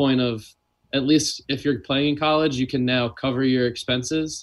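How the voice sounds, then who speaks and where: A man with an American accent has an ordinary speaking voice at medium pitch. He talks at a fairly slow pace with fairly even intonation. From US South, Louisiana (New Orleans). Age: 20s. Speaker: volleyball player. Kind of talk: casual chat.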